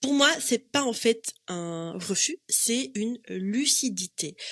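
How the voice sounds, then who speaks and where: A woman speaks very slowly with very wide pitch swings, recorded dry and close with no echo. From Morocco. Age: 30s. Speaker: psychologist and coach podcast host. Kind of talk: solo podcast monologue. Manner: casual, many fillers (euh, en fait).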